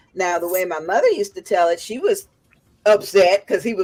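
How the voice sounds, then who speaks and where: Lively intonation marks a plain, everyday voice. The pace is moderate. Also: woman. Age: 50s. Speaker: evangelist and livestream host. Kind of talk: fundraiser livestream panel chat.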